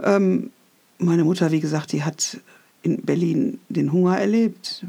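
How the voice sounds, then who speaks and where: A silent background marks this very clean recording. The voice has a dark, mellow tone. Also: woman. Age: 60s. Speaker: podcaster. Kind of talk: personal monologue. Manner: reflective.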